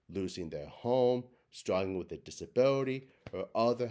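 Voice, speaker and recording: This is a normal speaking voice, delivered at a fairly slow pace with ordinary pitch variation. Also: man. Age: 30s. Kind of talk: prepared speech.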